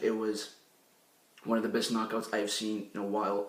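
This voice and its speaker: A man speaks at a medium pitch. Noticeable background noise and audible room echo accompany his voice. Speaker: sports talk show host. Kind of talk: sports news recap.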